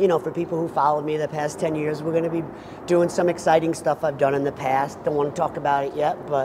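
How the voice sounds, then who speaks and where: A man talks very fast in a flat monotone, with noticeable noise in the background. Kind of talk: interview answer. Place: hall. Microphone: lapel.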